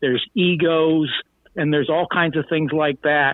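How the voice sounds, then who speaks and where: This man has a normal speaking voice, fairly high in pitch. He talks at a fairly slow pace. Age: 60s. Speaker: former local elected official. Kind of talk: live interview. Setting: phone call.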